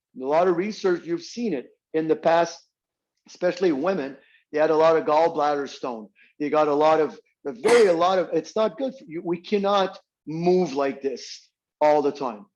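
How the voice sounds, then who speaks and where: With a Quebec accent, a man talks at a moderate pace in a fairly high pitch, with ordinary pitch variation and a quiet background. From Quebec countryside. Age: 60s. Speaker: strength coach. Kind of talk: interview. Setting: radio interview. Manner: halting.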